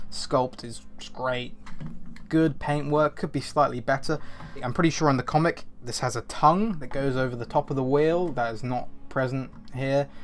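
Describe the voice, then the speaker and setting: A man's pitch shifts in an ordinary way. There is music in the background. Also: medium pitch for a man, moderate pace. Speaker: toy reviewer. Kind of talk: product review. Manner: animated.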